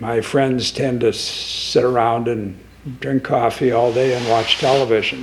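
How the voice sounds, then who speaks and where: Monotone, flat intonation from a man at medium pitch and a fairly slow pace, with noticeable background noise. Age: 80s+. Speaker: volunteer nonprofit founder. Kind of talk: interview. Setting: studio.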